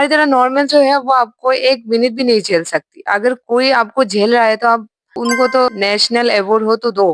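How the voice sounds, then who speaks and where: A high-pitched woman's voice with a non-native accent, lively intonation and an animated tone, in a dry, close sound with no echo. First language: not Hindi (speaking Hindi). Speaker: YouTuber, reaction commentator. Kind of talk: reaction commentary.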